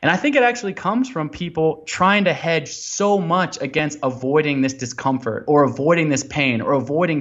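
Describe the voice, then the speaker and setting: In an American accent, a man with a fairly high pitch speaks with ordinary pitch variation. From US Pacific Northwest, Portland Oregon. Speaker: explorer and endurance athlete, author. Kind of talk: podcast interview. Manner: animated, many fillers.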